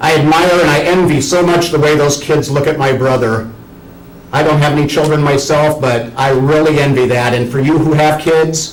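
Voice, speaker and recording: Audible room echo surrounds a man speaking at a moderate pace and fairly high pitch with very even loudness. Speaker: student giving a speech. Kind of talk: tribute speech. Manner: animated.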